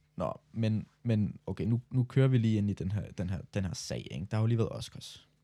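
Speaking at a moderate pace with hardly any pauses, a man has a normal speaking voice, fairly low in pitch with ordinary pitch variation. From Denmark. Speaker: podcast co-host, student. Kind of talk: casual chat.

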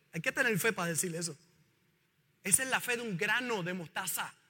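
A man projects a raised voice with a bright, sharp tone, an animated delivery and lively intonation. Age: 50s. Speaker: pastor. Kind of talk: sermon.

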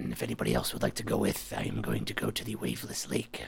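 A man's put-on character voice, very deep and low in pitch, raspy, at a very fast pace. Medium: actual play. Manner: calm, formal.

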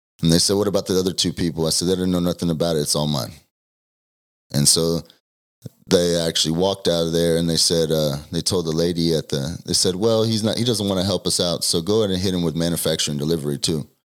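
A man talks at a very fast pace with a Texan accent. His voice is very deep and low. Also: fairly even intonation. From Texas (Denton area). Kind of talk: testimony.

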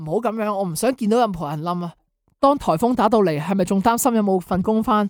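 The background is silent and the recording very clean. The talking moves fairly quickly. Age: young. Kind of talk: religious talk explaining song lyrics. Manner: fast.

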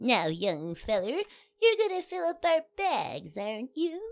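A woman puts on a character voice pitched high, with very wide swings in pitch. She speaks at a fairly slow pace. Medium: audio drama. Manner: sweetly folksy and cheeky.

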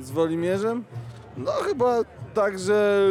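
This man talks very slowly with ordinary pitch variation while noticeable noise runs in the background. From Poland. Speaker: festival co-organizer. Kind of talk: interview. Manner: hesitant, many fillers.

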